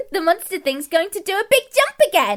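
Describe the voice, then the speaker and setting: The speaker uses a put-on character voice in a playful tone. The pace is fairly quick, with very wide pitch swings. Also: woman. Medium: audio drama. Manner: chirpy, self-satisfied, playful.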